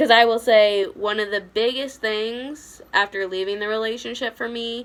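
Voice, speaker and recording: At a moderate pace, a woman with an unremarkable speaking voice talks in a fairly high pitch with fairly even intonation. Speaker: vlogger sharing personal abuse story. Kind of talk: personal testimony vlog.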